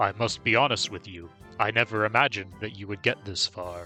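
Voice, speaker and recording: The man talks at a fairly quick pace in a put-on character voice. Clear music plays in the background. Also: fairly low pitch for a man. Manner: grandiose, menacing.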